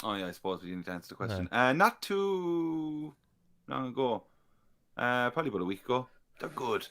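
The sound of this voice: With an Irish accent, a man speaks at a fairly quick pace in a bright, sharp tone. His pitch swings very widely, broken by long, frequent pauses. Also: medium pitch for a man.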